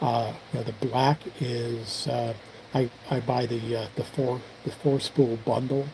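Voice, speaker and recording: A man talks over noticeable background noise. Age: 60s. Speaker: firearms reloading and 3D printing hobbyist streamer. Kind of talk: casual live stream chat. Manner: halting, many fillers and repeats.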